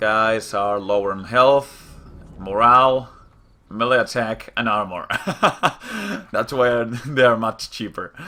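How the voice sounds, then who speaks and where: At a very slow pace, a man talks in a bright, sharp tone at a medium pitch with fairly even intonation. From Spain. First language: Spanish. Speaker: gaming youtuber. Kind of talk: gameplay commentary. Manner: hesitant, many fillers.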